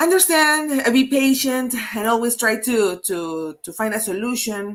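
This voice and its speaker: With a Peruvian accent, a woman speaks at a fairly slow pace. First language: Spanish. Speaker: HR consultant, webinar host. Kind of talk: live webinar interview. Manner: halting, many repetitions.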